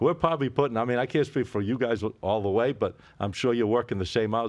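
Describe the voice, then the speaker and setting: Rattling along at a very fast pace, a man with a Boston accent speaks in a medium pitch with ordinary pitch variation. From Boston area. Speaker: sports betting podcast host. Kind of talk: casual chat.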